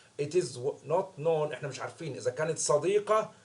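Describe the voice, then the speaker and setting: There is noticeable background noise as a man speaks at a fairly high pitch and a fairly quick pace. His pitch varies in an ordinary way. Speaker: English teacher. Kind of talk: lesson explaining a story.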